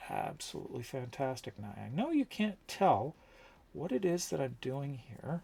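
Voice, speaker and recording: At a moderate pace, a man talks with lively intonation in a somewhat breathy voice at a fairly high pitch. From Canada, London, Ontario. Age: 50s. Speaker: streamer and prop maker. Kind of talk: casual livestream chat while crafting.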